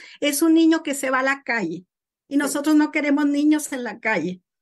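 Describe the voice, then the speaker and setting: Her voice is high-pitched, with lively intonation, as the woman talks at a moderate pace. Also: quiet background. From northern Mexico, Morelos, Coahuila. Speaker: author and former school teacher. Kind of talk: interview.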